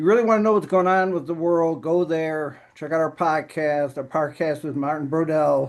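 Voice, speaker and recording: A man with a normal speaking voice and a fairly high pitch talks at a moderate pace with hardly any pauses. His intonation is fairly even, and the background is quiet. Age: 50s. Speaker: powerlifter and accountant vlogger. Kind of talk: casual video update. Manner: rambling conversational, many fillers.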